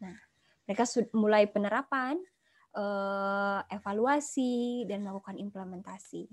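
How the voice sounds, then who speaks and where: A woman speaking at a fairly slow pace with ordinary pitch variation, against a quiet background. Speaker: pharmaceutical marketing executive; guest lecturer. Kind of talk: guest lecture. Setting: video call. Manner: animated. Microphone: video call.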